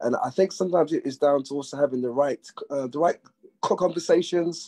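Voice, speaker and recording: A man's fairly high yet dark, mellow voice in a London accent, very fast, with ordinary pitch variation and a dry, close sound with no echo. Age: young. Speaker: panel guest on men's mental health discussion. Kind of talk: panel discussion. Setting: live video call.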